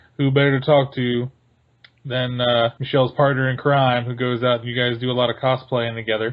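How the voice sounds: Medium pitch for a man, little pitch movement, and a fairly quick pace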